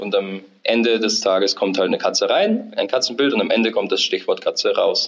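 A man is speaking. His pace is moderate. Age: 20s. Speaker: software developer, recent graduate. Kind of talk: interview, technical explanation.

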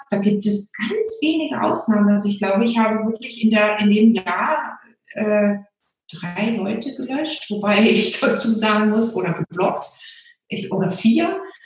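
Moderate-paced speech with audible room echo and music in the background. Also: woman. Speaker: Facebook group founder. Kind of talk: interview.

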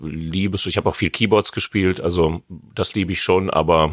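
The delivery moves at a moderate pace with fairly even intonation. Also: man. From Westphalia, Germany (Hamm). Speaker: jazz pianist. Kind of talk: casual interview. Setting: jazz club.

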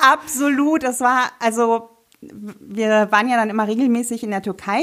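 High female speech with ordinary shifts in pitch. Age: 30s. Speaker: sewing blogger and podcast co-host. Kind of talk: casual chat.

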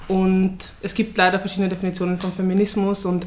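A woman talks at a fairly quick pace in a medium pitch. Noticeable background noise runs underneath. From Vienna, Austria. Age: 20s. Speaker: student activist. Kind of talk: interview.

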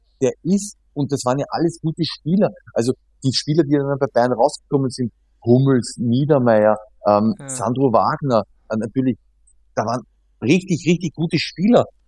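Man's fairly high voice with a dark, mellow tone, lively intonation, moderate pace broken by long, frequent pauses, dry and close with no echo. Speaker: professional footballer. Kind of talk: casual interview.

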